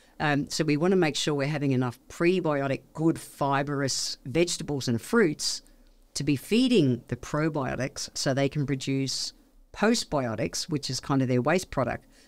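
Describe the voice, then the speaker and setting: Lively intonation carries an Australian accent in a very clean recording with a silent background. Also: woman, very deep, low pitch for a woman. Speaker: naturopath. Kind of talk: casual interview chat. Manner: fast; animated.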